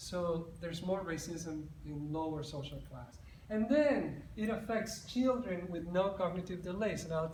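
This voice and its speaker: A man with a high pitch speaks at a moderate pace and with ordinary pitch variation, over noticeable background noise and audible room echo. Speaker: psychologist. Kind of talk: conference presentation. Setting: conference stage with audience.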